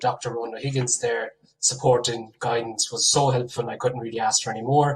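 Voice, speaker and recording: A man speaks at a fairly quick pace with an Irish accent. His intonation is monotone and flat. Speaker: PhD researcher, award winner. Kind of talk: acceptance speech.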